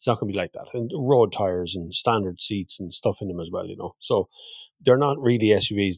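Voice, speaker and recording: Very fast speech from a man with an Irish accent, ordinary pitch variation, a dry, close sound with no echo, and a very clean recording with a silent background. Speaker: motoring podcast host and video creator. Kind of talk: casual chat.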